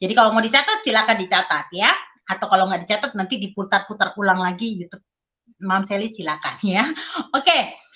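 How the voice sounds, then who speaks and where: At a very fast pace, a woman talks in a medium pitch with ordinary pitch variation. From Indonesia, Surabaya (East Java). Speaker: network marketing leader and motivational speaker. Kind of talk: motivational talk. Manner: casual, conversational.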